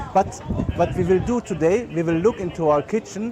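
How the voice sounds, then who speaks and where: Over noticeable background noise, a man talks at a moderate pace in a German accent with ordinary pitch variation. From Germany. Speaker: chef and catering business owner. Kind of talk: guided tour talk. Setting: outdoor market. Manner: halting, many filler words.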